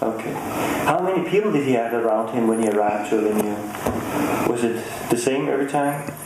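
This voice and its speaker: A man is speaking over loud background noise. The room echo is audible. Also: fairly quick pace. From Denmark. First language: Danish. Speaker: TV interviewer. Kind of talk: interview. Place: home room.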